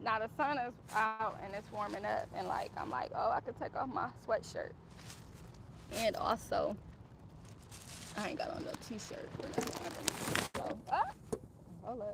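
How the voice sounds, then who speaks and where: The speech moves at a moderate pace with long, frequent pauses, over noticeable background noise. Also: woman. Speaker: vlogger. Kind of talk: casual vlog talk. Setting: outdoors. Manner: loud, carrying voice; animated.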